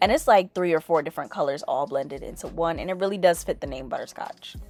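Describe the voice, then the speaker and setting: A woman speaks at a very fast pace in a fairly low voice, with ordinary pitch variation. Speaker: beauty youtuber. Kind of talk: tutorial. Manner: casual.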